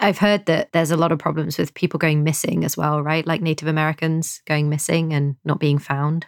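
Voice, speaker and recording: A woman with a very deep, low pitch talks at a fairly quick pace with hardly any pauses, her intonation monotone and flat. Her loudness is very even, and the recording is very clean, silent in the background, dry and close with no echo. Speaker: podcast co-host. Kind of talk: casual chat.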